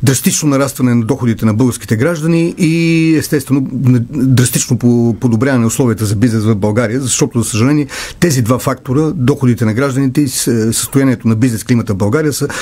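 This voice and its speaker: Male speech at a fairly quick pace, with ordinary pitch variation and very even loudness. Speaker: candidate. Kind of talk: political debate statement. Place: studio. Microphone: studio mic.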